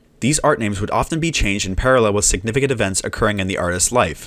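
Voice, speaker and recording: A mumbling man at a very fast pace, fairly low in pitch with ordinary pitch variation, on a very clean recording with a silent background. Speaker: musician, video essayist. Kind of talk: video essay narration, read from script. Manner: mumbled in places.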